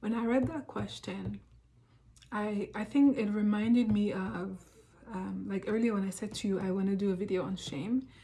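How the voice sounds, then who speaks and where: Pitched in the middle range, a woman's voice shows ordinary variation in pitch. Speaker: self-help vlogger. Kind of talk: personal reflective talk. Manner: fast; hesitant, many fillers.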